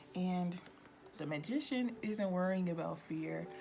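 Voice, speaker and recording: Over music in the background and audible room echo, a woman talks at a fairly slow pace in a medium pitch. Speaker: tarot reader. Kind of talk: tarot reading to camera. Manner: animated.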